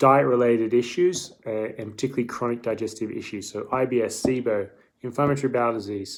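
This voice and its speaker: Speaking at a moderate pace with an Australian accent, a man keeps a medium pitch and fairly even intonation. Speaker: dietitian. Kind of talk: live stream Q&A. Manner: casual, hesitant with fillers.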